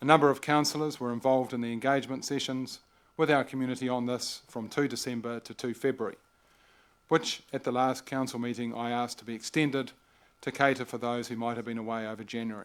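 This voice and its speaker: In a New Zealand accent, a man speaks at a very fast pace and a medium pitch. His intonation is monotone and flat, in a very clean recording with a silent background. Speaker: mayor chairing council meeting. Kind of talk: formal council meeting address. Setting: council chamber, livestreamed meeting.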